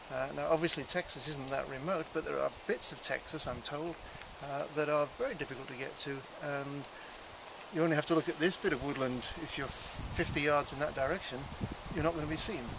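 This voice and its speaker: At a fairly quick pace, a man with a fairly high pitch speaks with fairly even intonation, leaving long, frequent pauses over noticeable background noise. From England. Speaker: primatologist, conservationist. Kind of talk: TV interview. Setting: outdoors by a lake in a state park. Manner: hesitant, frequent ums and uhs.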